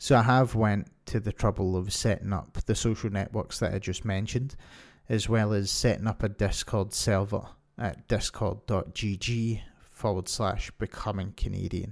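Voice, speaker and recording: A man speaks with a Scottish accent at a fairly low pitch and fairly even intonation. The recording is very clean, with a silent background. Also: moderate pace. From Scotland. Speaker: podcast host. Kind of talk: solo podcast monologue.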